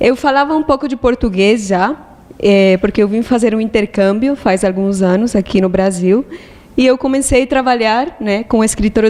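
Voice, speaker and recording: A woman with a Spanish accent and a fairly high pitch speaks at a moderate pace with ordinary pitch variation and very even loudness, over noticeable background noise. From Colombia. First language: Spanish (speaking Portuguese). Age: 20s. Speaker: monastic aspirant. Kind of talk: testimony.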